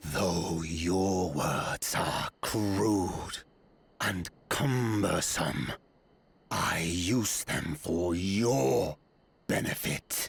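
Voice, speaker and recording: In a put-on character voice, a man growls at a very deep, low pitch. His pace is very slow. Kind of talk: formal, archaic. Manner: angry, aggressive.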